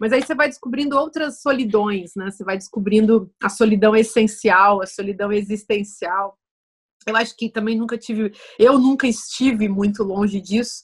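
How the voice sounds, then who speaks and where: This woman's voice is somewhat breathy, with ordinary pitch variation. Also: fairly high pitch for a woman, moderate pace. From Brazil. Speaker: writer and philosopher. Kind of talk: casual interview conversation.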